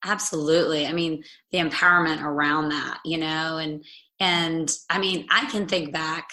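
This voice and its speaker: At a moderate pace, a woman speaks with a bright, sharp tone and fairly even intonation. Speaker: podcast host. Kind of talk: casual interview chat.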